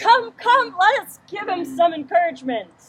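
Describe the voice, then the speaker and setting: This put-on character voice sits at an extremely high pitch and swings very widely in pitch. The pace is moderate. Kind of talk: Elizabethan stage verse. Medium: stage play. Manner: coaxing, insinuating.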